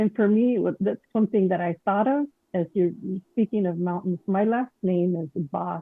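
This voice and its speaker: The speaker has a Spanish accent and talks at a moderate pace. The pitch varies in an ordinary way. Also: woman. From Mexican heritage. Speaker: caller. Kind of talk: testimony. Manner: halting.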